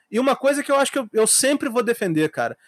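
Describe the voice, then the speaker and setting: A man is heard on a very clean recording with a silent background. The sound is dry and close, with no echo. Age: 30s. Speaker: podcast host. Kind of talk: casual chat.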